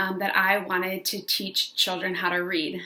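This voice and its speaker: A woman of medium pitch speaks with an American accent. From upstate New York. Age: 20s. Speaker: online business coach, former teacher. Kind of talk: casual vlog monologue. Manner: animated.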